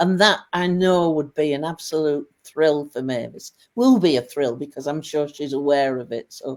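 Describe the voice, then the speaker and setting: In a northern English accent, a woman with a very deep, low pitch speaks at a moderate pace with ordinary pitch variation. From Lancashire, northern England. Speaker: widow of a medium, business helper. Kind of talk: interview podcast.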